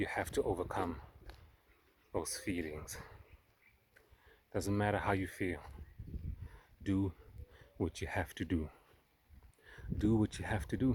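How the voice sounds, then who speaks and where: The speech is somewhat breathy and fairly slow, with a non-native accent. Long pauses come often. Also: man, very deep, low pitch for a man, ordinary pitch variation. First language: not English. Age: 30s. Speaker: self-help vlogger. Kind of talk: personal vlog monologue. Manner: halting, with fillers and repeats.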